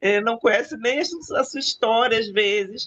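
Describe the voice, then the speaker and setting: The woman's fairly high voice moves at a fairly slow pace. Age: 60s. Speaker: book club participant. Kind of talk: casual group discussion. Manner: animated.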